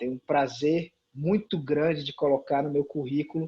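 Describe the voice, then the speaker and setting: Somewhat breathy, fairly high-pitched male speech with ordinary pitch variation. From Brazil, Sobral, Ceará (Northeast). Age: 30s. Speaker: comic book writer. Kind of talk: casual interview chat.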